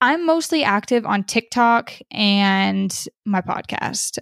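A woman's medium-pitched, normal speaking voice with lively intonation, dry and close with no echo, in a very clean recording against a silent background. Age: 20s. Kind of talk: testimony.

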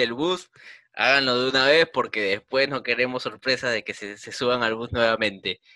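The voice belongs to a man at medium pitch. His pitch varies an ordinary amount. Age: 20s. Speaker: football podcast co-host. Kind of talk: casual chat.

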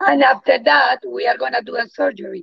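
A woman speaks with a Spanish accent. She keeps a moderate pace. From Colombia. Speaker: integrative oncologist. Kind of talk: interview.

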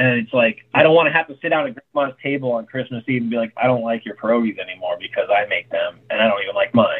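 With an American accent, a man races along at a very fast pace with hardly any pauses. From Tucson, Arizona. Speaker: chef and restaurant owner. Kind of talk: casual chat.

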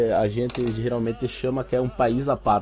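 Noticeable background noise accompanies a man speaking at a medium pitch and a moderate pace. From Uruguay-Brazil border (Rivera / Santana do Livramento). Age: 20s. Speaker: cosplay prop maker. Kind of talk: casual interview.

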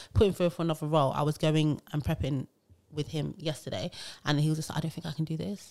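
In a British accent, a dark, mellow voice races along at a very fast pace on a very clean recording with a silent background. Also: woman, very deep, low pitch for a woman. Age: 20s. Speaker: HR podcast host. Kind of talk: casual chat. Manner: animated.

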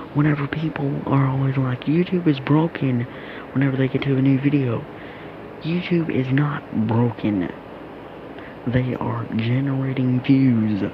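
A man with an American accent speaks at a fairly slow pace and medium pitch, with fairly even intonation, long, frequent pauses and noticeable background noise. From United States. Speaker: youtuber. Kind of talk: casual monologue. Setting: in bed.

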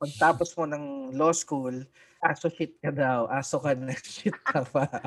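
A man's normal speaking voice, fairly high in pitch, at a fairly slow pace with fairly even intonation. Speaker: podcast co-host and lawyer. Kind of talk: casual chat. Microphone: new mic.

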